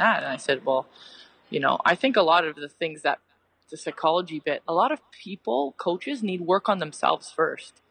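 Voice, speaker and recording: Lively intonation marks a woman's fairly low voice at a moderate pace, in a dry, close sound with no echo. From Canada, Mississauga. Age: 30s. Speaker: retired soccer player and coach. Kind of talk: casual interview. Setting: coffee shop, video or phone call.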